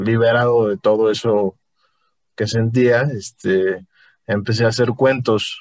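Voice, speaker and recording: A man's medium-pitched voice at a very slow pace, fairly even in intonation, with a dry, close sound and no echo. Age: 20s. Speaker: novelist and law student. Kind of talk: casual interview. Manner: halting, many fillers.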